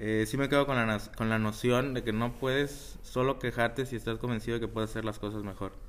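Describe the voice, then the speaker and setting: This man's intonation stays fairly even as he talks at a moderate pace and a medium pitch. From Mexico, Ciudad Victoria, Tamaulipas. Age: 20s. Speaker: graduate student. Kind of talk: interview. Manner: halting.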